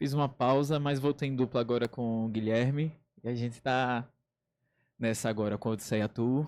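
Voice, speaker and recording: Speaking at a moderate pace, a man uses a plain, everyday voice at a medium pitch. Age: 20s. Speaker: writer and DJ. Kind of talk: radio interview. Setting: radio studio.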